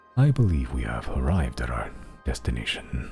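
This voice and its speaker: A man speaks in a booming, put-on character voice with a very deep, low pitch, ordinary pitch variation and a fairly quick pace, with clear music playing behind him. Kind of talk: formal.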